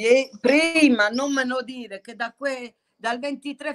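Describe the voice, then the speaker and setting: Recorded dry and close with no echo, a woman talks in a high voice with fairly even intonation. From Bari, Puglia (old town). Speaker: pasta maker. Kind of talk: casual chat.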